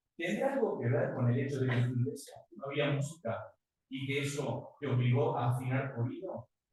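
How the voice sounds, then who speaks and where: In a Uruguayan accent, a man speaks with a somewhat breathy, fairly high voice and ordinary pitch variation. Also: moderate pace. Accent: Uruguayan Rioplatense Spanish, unmodified. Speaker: guest preacher. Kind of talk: sermon. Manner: animated.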